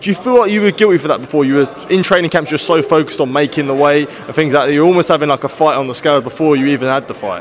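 Over noticeable background noise, a man with a British accent talks at a very fast pace with hardly any pauses, using a fairly high pitch and ordinary pitch variation. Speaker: boxing interviewer. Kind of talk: interview. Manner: halting.

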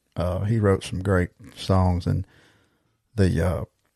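A man's very deep, low voice with a Southern US accent, at a fairly slow pace and with fairly even intonation. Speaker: podcast host and musician. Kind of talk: casual chat. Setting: video call.

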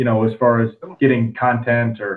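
In an American accent, a man talks with his pitch at a medium level. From Northwest Florida, US. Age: 30s. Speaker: podcast host and baseball player. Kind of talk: casual interview.

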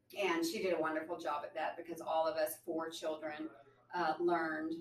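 With a Southern US accent, a woman speaks at a moderate pace in a fairly low pitch and fairly even intonation. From Arkansas. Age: 40s. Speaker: attorney. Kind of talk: interview.

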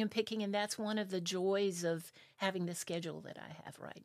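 Speaking at a moderate pace with fairly even intonation, this is a normal speaking voice with an American accent. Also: woman. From South Carolina. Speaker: orchestra conductor and music teacher. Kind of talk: casual interview. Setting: studio.

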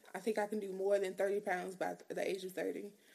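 A woman talks fast at a medium pitch, with little pitch movement. Her slightly mellow tone carries a slightly husky edge and vocal fry.

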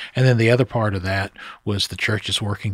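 Recorded very cleanly against a silent background, a man with an American accent and a plain, everyday voice speaks at a fairly low pitch with fairly even intonation. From southern Ohio, near Portsmouth. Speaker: priest. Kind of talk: interview.

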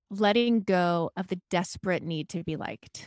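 A woman with a bubbly tone at a moderate pace, on a very clean recording with a silent background. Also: dry, close sound with no echo. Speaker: therapist and private practice coach. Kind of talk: casual chat.

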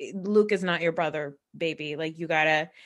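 A woman talks in an ordinary speaking voice. She goes at a fairly slow pace with ordinary pitch variation. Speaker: podcast co-host guest. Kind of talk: casual chat.

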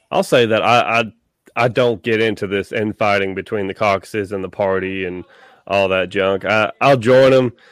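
In a Tennessee accent, a man talks at a fairly low pitch with fairly even intonation, the sound dry and close with no echo on a very clean recording with a silent background. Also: moderate pace. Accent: Tennessee Southern. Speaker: podcast host. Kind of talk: casual chat.

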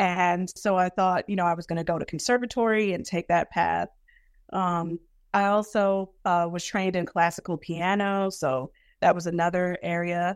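Fairly even intonation marks this moderate-paced speech in an American accent, recorded with a dry, close sound, no echo, and a quiet background. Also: woman, fairly low pitch for a woman. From US Northeast (Brooklyn, New York). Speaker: academic author. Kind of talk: interview. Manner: hesitant, many fillers.

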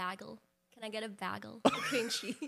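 Using a put-on character voice, a woman speaks at a moderate pace. Her voice is raspy, with a medium pitch.

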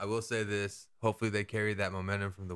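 A man with an American accent speaks at a fairly quick pace in a fairly low pitch. His tone is bright and sharp, on a very clean recording with a silent background. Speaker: sports podcast co-host. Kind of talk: casual chat.

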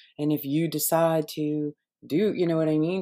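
A dark, mellow tone with an American accent comes through on a very clean recording with a silent background. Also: woman. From Boston, US. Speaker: conspiracy commentator. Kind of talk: casual interview. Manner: halting.

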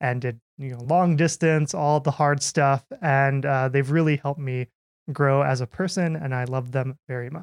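A man with an American accent talks at a moderate pace, his pitch fairly high and his intonation fairly even. The sound is dry and close with no echo, over a quiet background. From US Midwest, Minnesota. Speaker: PhD student, partner of a host. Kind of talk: casual chat.

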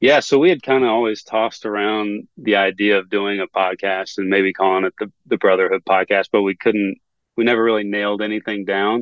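Fairly quick and with hardly any pauses, a man talks in an ordinary speaking voice. His pitch is fairly low and his intonation fairly even. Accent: American. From North Carolina (Greensboro). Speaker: sports video producer. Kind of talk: casual interview chat.

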